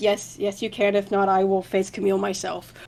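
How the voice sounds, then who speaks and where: A raspy, put-on character voice runs at a fairly quick pace with monotone, flat intonation and very even loudness over clear background noise. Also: woman, medium pitch for a woman. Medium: actual play. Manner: meek, hesitant.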